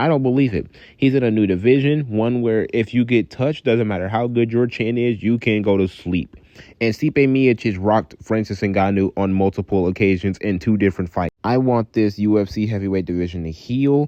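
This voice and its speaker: At a fairly quick pace, a man talks in an ordinary speaking voice, fairly low in pitch, with ordinary pitch variation. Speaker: MMA YouTuber. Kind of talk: fight predictions vlog.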